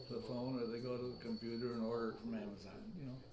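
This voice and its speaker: A man's fairly quick talk with ordinary pitch variation, amid noticeable background noise and audible room echo. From US. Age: 90s. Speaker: author. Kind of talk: casual interview chat.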